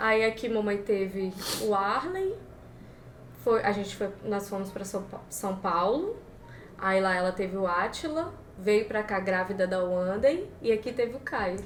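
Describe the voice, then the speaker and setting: A woman with a medium-pitched voice speaks at a fairly slow pace. Audible room echo and noticeable background noise surround her. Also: ordinary pitch variation. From Espírito Santo, Brazil. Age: 20s. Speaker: podcast guest. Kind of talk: casual chat.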